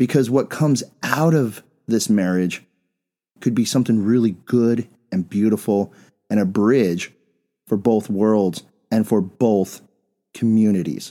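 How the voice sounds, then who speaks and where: A man with an American accent speaks fairly slowly at a fairly low pitch in a dark, mellow tone, with ordinary pitch variation, very even loudness and long, frequent pauses. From Bisbee, Arizona, US Southwest. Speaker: podcast host. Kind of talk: casual conversational podcast discussion.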